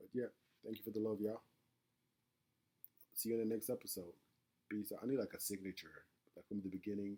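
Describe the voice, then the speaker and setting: A man with a fairly low, dark, mellow voice speaks very fast in a flat monotone, broken by long, frequent pauses. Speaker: podcaster. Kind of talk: casual monologue podcast. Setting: at home. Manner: halting, repeats words; casual, conversational.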